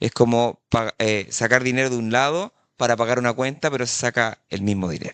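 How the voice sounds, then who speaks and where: A plain, everyday voice from a man, medium in pitch at a moderate pace, with a dry, close sound with no echo. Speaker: journalist, environmental activist. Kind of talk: panel talk. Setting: conference panel with interpretation.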